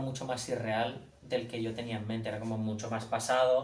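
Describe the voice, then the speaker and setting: A man's fairly even intonation comes through audible room echo and noticeable background noise. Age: young. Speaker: comic artist and author. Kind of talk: book presentation talk. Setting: bookshop event with audience. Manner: halting, many repetitions.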